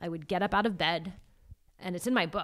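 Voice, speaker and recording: A woman talks in an ordinary speaking voice. Her pitch is fairly low, and the background is quiet. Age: 40s. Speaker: yoga and movement educator. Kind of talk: casual interview. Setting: in person at her home.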